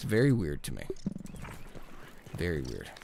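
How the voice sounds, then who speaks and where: Noise is noticeable behind the speaker. The man keeps to a moderate pace. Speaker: gaming streamer. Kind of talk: gameplay commentary. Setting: live stream. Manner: casual, chatty.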